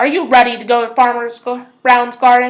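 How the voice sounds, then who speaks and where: A woman puts on a character voice, speaking high-pitched at a moderate pace. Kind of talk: bedtime story. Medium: read story. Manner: growling.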